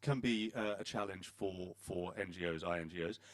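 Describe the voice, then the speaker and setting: A man speaks with a British accent. His pitch varies in an ordinary way. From Britain. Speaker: panel moderator. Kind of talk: panel discussion moderation. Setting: conference hall with audience. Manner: hesitant, many fillers.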